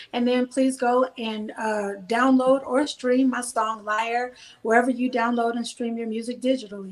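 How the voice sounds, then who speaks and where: A woman talks at a high pitch with a slight Southern US accent. Her intonation is monotone and flat, with hardly any pauses. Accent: slight Southern drawl. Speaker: gospel singer and songwriter. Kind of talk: casual interview.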